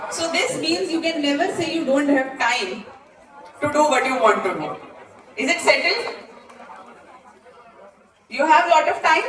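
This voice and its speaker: With crowd noise behind her, a woman talks at a moderate pace in a high pitch. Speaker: motivational speaker, former civil servant. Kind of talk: motivational talk to a live student audience. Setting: live auditorium talk with audience interaction.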